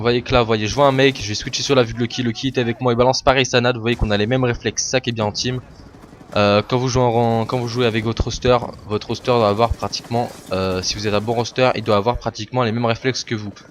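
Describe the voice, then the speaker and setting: This man talks very fast in a flat monotone. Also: medium pitch for a man. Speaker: gaming commentator. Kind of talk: gameplay commentary. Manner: stammering.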